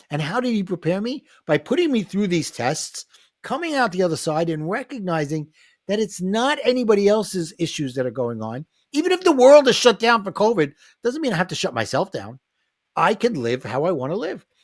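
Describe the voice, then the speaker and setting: Here a man with a New York accent talks at a high pitch, his pitch swinging very widely. He keeps a fairly quick pace in a very clean recording with a silent background. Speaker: life coach and author. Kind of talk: podcast interview.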